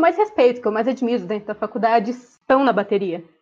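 The woman's voice sits high in pitch. The background is quiet. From Ourinhos, São Paulo state, Brazil. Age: 20s. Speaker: dental student and university drummer. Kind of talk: casual interview. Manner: talkative.

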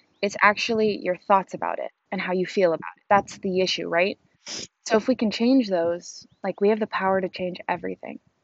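At a fairly quick pace, a woman speaks with medium pitch and fairly even intonation. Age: 20s. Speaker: podcaster. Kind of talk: casual monologue. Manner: halting.

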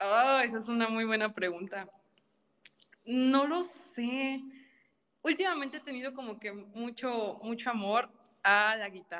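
A woman speaks at a fairly slow pace with long, frequent pauses. Her fairly high voice has a bright, sharp tone and lively intonation. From Mexico, Tampico, Tamaulipas. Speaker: opera singer, soprano. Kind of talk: casual interview chat.

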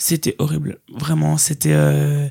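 A woman's very deep, low voice comes out somewhat breathy in a dark, mellow tone and a flat monotone. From Belgium, Liège. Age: 20s. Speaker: student. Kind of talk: casual chat.

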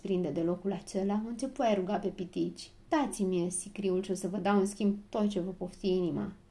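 Someone reads aloud plainly. Their intonation is fairly even.

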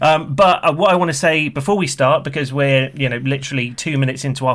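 Speaking at a very fast pace, a man uses a fairly high pitch. His pitch variation is ordinary. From UK.

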